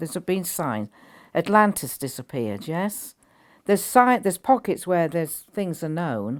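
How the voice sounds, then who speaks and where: A woman talks at a moderate pace in a very deep, low pitch, her voice making very wide pitch swings. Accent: British. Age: 80s+. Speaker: spiritual teacher. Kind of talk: interview. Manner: halting.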